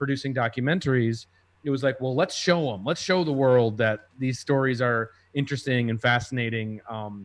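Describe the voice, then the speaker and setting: A man with an American accent and an ordinary speaking voice, medium-pitched with ordinary pitch variation, at a moderate pace against a quiet background. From Minnesota, US. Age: 30s. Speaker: TV documentary producer. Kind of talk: casual interview chat.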